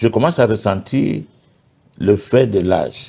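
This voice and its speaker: A man with a dark, mellow tone and vocal fry speaks at a very slow pace. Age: 70s. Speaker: pastor. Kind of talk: testimony. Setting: TV studio.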